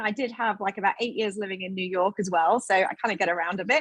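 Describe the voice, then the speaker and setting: A woman with a British accent and ordinary pitch variation. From United Kingdom. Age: 40s. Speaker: event host and filmmaker. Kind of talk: event hosting introduction. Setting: live online event with green screen.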